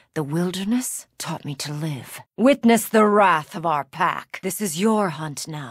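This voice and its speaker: This put-on character voice sits at a middle pitch and moves at a fairly slow pace with hardly any pauses. The recording is very clean, with a silent background. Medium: video game voice lines. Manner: fierce, commanding.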